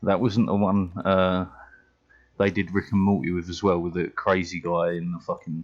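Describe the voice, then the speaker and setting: Over music in the background, a man talks at a moderate pace in a very deep, low pitch with monotone, flat intonation. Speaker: gaming streamer. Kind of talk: casual live stream chat.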